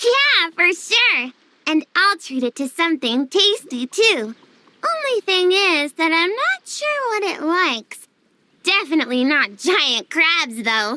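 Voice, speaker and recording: This put-on character voice sits at an extremely high pitch. It moves at a fairly slow pace with very wide pitch swings. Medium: video game. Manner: bright, chatty.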